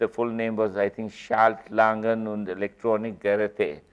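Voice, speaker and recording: The speaker is a man with a medium pitch. His delivery comes at a moderate tempo. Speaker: company founder and executive. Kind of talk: guest lecture.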